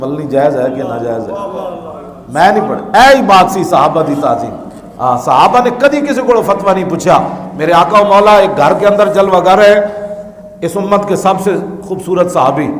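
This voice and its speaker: A man with a high-pitched voice speaks in a passionate tone with lively intonation over noticeable background noise. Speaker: Islamic preacher. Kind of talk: religious sermon (bayan) in Urdu and Punjabi, delivered to a live audience. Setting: live gathering, audience responds aloud. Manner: passionate, oratorical, with call-and-response from listeners.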